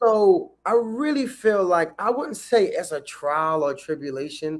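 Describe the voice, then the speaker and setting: A man speaks with an American accent. His pace is fairly slow, and his intonation is lively. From New York City. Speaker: singer and songwriter. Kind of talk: podcast interview. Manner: casual.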